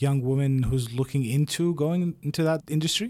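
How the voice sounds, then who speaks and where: A man with a normal speaking voice, fairly high pitch, fairly even intonation and a moderate pace. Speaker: podcast host. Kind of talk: casual interview.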